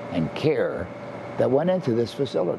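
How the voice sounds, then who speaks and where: A man is heard over noticeable background noise with audible room echo. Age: 80s+. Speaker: summer camp founder. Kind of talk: interview testimony.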